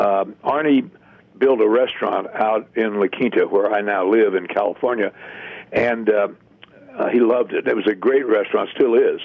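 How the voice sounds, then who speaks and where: Noticeable background noise behind a man talking at a moderate speed. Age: 80s+. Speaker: author and former golf executive. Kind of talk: casual interview.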